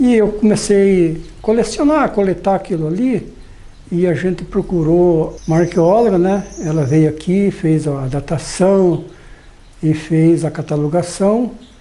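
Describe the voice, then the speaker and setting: A high-pitched male voice at a fairly slow pace, very even in loudness, against noticeable background noise. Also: ordinary pitch variation. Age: 60s. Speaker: farmer. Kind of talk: documentary interview. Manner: halting, frequent fillers.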